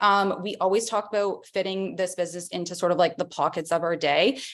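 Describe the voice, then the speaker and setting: A woman talks at a fairly quick pace in a medium pitch. The background is quiet. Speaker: direct sales consultant and trainer. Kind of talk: online training presentation.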